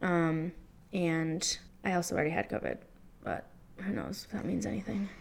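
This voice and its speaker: At a fairly quick pace, a woman speaks in a fairly low voice with fairly even intonation. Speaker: podcast co-host. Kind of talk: casual chat.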